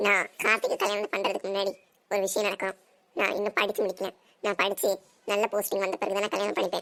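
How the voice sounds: Putting on a cartoonish character voice, a woman speaks fairly quickly at a medium pitch in a flat, monotone way.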